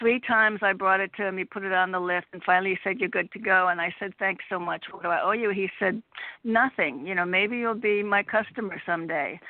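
An ordinary speaking voice from a woman with an American accent, medium in pitch, fairly quick, with ordinary pitch variation. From Connecticut. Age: 60s. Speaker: caller. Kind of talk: casual chat. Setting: phone call.

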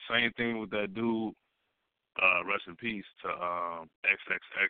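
A man's fairly low voice at a very slow pace, with fairly even intonation and big swings in loudness. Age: 20s. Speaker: radio co-host. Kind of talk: casual chat. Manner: laid-back.

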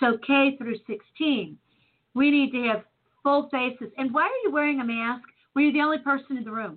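A woman with an American accent speaks in a high voice with ordinary pitch variation. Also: moderate pace. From US Midwest, Chicago. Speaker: talk radio host. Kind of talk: casual chat.

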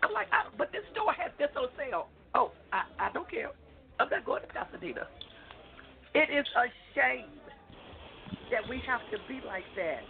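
A woman speaks at a moderate pace with long, frequent pauses over noticeable background noise. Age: 50s. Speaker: radio show contributor. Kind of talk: radio panel discussion. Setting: outdoors camping, remote call-in.

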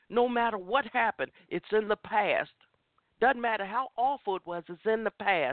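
The tone is animated and the intonation lively. The pace is moderate. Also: woman, fairly high pitch for a woman. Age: 50s. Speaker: inspirational talk show host. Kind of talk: impassioned motivational sermon-style testimony, preaching to listeners. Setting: internet radio show. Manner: rising, emphatic preacher cadence with repeated lists.

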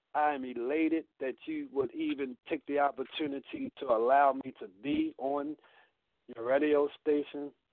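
Speaking slowly-ish in an American accent, a man keeps a monotone, flat intonation at a fairly high pitch. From Baltimore, Maryland. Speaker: director of an ex-offender re-entry program. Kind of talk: live radio interview.

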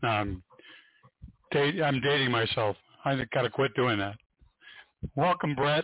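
Speaking at a fairly slow pace, a man uses lively intonation at a medium pitch.

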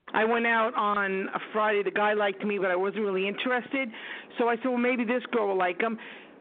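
Against noticeable background noise, a woman with a fairly high pitch talks at a fairly quick pace, her intonation fairly even and her loudness very even. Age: 50s. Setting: phone call.

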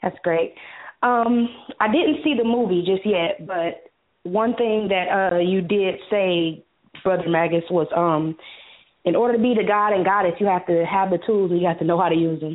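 Here is a woman with an unremarkable speaking voice, medium pitch and ordinary pitch variation. Her pace is moderate and her loudness very even. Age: 20s. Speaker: caller. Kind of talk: phone-in comment.

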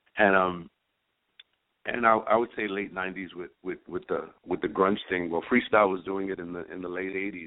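With a New York accent, a man speaks in a very deep, low pitch and a monotone, flat intonation. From New York, Spanish Harlem. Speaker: freestyle singer and songwriter. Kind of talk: radio interview.

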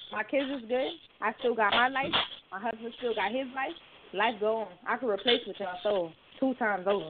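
The speaker has an ordinary speaking voice with ordinary pitch variation. The pace is fairly quick. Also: woman, fairly high pitch for a woman. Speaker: caller. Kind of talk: casual chat. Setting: phone call.

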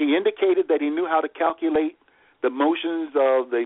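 Speaking at a fairly quick pace, a man keeps a fairly even intonation at a fairly high pitch. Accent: American. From US South, rural southeastern Virginia. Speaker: family historian. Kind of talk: interview storytelling. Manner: halting.

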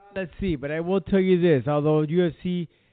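At a moderate pace, a man with a fairly high pitch talks in a normal speaking voice with fairly even intonation. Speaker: radio host. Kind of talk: casual chat.

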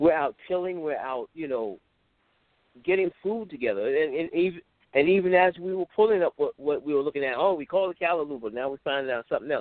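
Speaking very fast with an American accent, a man uses a fairly high pitch. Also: lively intonation. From US Gulf Coast, Mississippi. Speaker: DJ and music producer. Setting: phone call. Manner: halting.

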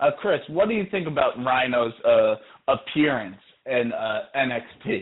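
At a fairly slow pace, a man talks with a fairly high pitch. His is an unremarkable speaking voice. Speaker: podcast co-host. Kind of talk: casual chat. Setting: phone call.

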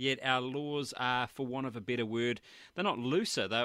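In a New Zealand accent, a man of medium pitch speaks with a bright, sharp tone. His pace is moderate and his pitch variation ordinary. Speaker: hunting podcast host. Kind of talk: interview. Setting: Skype call.

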